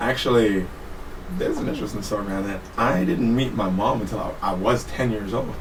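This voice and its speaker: With an American accent, a man speaks at a fairly quick pace in a fairly low pitch, with ordinary pitch variation, audible room echo and noticeable background noise. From Trinidad and Tobago, then San Francisco from age ten. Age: 30s. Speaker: podcast guest, Navy veteran. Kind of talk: casual chat.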